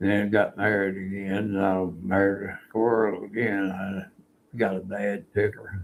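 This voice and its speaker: Here a man speaks in an Oklahoma accent at a fairly low pitch. His delivery is fairly slow, with monotone, flat intonation. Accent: Oklahoma Southern US. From Oklahoma, US. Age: 80s+. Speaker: Navy veteran. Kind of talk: interview, life story. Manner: halting, many fillers.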